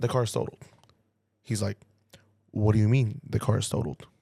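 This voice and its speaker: At a moderate pace, a man speaks with a medium pitch and a dark, mellow tone. His voice is somewhat breathy. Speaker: tow truck driver and podcast host. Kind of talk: casual storytelling podcast. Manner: animated.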